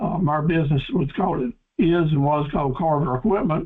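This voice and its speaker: This voice has an eastern North Carolina accent. It moves at a fairly quick pace. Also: man. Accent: US Southern (eastern North Carolina). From North Carolina, Cumberland County. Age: 70s. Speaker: business coach and farm equipment dealer. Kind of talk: webinar presentation. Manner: folksy, with frequent fillers.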